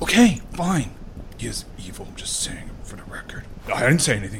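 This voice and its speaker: Whispering in a put-on character voice, a man speaks at a moderate pace with a rumbling sound. His loudness swings widely. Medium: actual play. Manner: muttering, grumbling.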